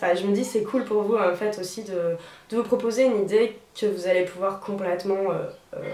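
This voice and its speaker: With noticeable background noise and audible room echo, a woman talks at a fairly quick pace in a medium pitch with ordinary pitch variation. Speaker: DIY video creator. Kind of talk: tutorial. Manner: casual, chatty with many fillers.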